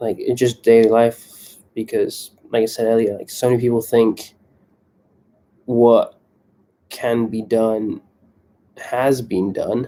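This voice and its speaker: Very slowly and with long, frequent pauses, a man speaks at a medium pitch in a dark, mellow, flat monotone. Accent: British. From England. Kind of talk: live stream monologue. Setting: live stream on laptop. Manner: casual, many fillers. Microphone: laptop.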